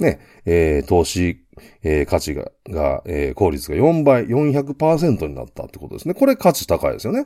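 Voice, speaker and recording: Recorded very cleanly with a silent background, a man talks at a fairly slow pace with big swings in loudness. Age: 50s. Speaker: business consultant. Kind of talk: solo business lecture. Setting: home studio. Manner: many filler sounds.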